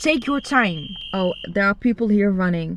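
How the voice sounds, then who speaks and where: The speaker is a woman with a non-native accent. She keeps a moderate pace. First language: not English. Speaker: YouTuber, self-help vlogger. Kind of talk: motivational talk to camera. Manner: animated.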